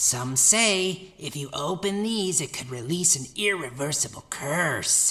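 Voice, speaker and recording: A put-on character voice sits at a middle pitch. It moves at a fairly slow pace. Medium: audio drama. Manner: eager, easily flustered.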